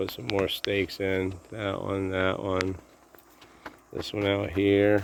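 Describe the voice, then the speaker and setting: The speaker mumbles quietly at a very slow pace in a monotone, flat intonation, with long, frequent pauses. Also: man, very deep, low pitch for a man. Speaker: vlogger filming his dog and garden. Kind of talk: casual vlog narration. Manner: low, quiet voice; mumbling.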